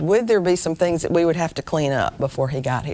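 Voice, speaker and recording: A woman with an American accent and lively intonation. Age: 60s. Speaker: women's speaker, career teacher. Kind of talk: sermon.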